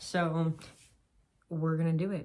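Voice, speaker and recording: A woman speaks with an American accent in a dark, mellow tone. Her intonation is fairly even. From US West Coast, San Diego. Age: 20s. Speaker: vlogger, post-collegiate runner. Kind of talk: casual vlog monologue. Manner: casual, hesitant with fillers.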